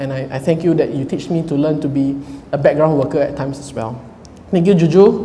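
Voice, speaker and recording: A man with a fairly high pitch, ordinary pitch variation and a fairly quick pace, amid noticeable background noise and audible room echo. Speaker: groom. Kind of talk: wedding speech. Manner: loud; halting.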